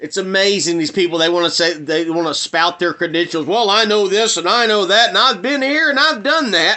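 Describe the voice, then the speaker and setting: Speaking with a Southern US accent, the voice is animated and fairly quick, with very even loudness. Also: man, high pitch for a man. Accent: Southern American. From US South. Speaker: video blogger. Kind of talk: monologue rant.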